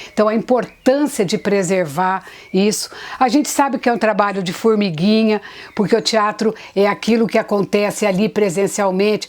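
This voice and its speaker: At a moderate speed, an unremarkable speaking voice shows ordinary pitch variation. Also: woman, medium pitch for a woman. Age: 60s. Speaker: theatre actress. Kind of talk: interview.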